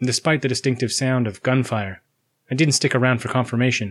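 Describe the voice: Fairly even intonation marks this plain reading aloud over a quiet background.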